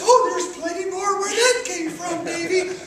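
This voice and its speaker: Someone puts on a squeaky character voice at an extremely high pitch, speaking at a moderate pace. Clear background noise and a clear echo are present. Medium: stage play. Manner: folksy, hearty.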